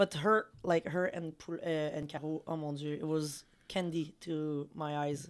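A woman with a Quebec accent, very deep and low in pitch, fairly slow and fairly even in intonation. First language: French. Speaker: women's hockey podcast co-host. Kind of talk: casual chat.

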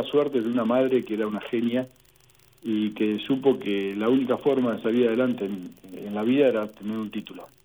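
A man talks with fairly even intonation. He speaks in an Argentine accent. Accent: Rioplatense Argentine Spanish. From Argentina, Saladillo, Buenos Aires province. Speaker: veterinarian and pig farmer. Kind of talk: interview.

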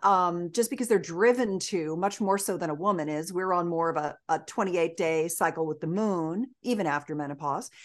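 Hardly pausing, a woman speaks at a moderate pace and a fairly low pitch with ordinary pitch variation over a quiet background. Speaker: sex educator and author. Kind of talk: interview. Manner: energetic.

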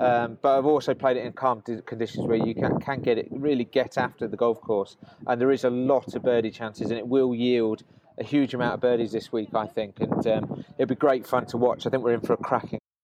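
A medium-pitched man's fairly quick speech in a monotone, flat intonation. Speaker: co-host reporting from event. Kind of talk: casual chat. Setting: on-site at golf tournament, remote.

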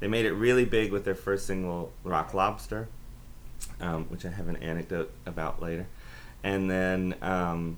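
Audible room echo surrounds a man speaking at a moderate pace, his very deep, low pitch showing ordinary variation. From US South, Aiken, South Carolina. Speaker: professor. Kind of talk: interview about academic topic.

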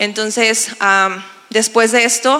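A woman speaks with monotone, flat intonation. The room has an audible echo, and there is noticeable background noise. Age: 30s. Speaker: pastor. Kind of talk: testimony. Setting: church stage with audience.

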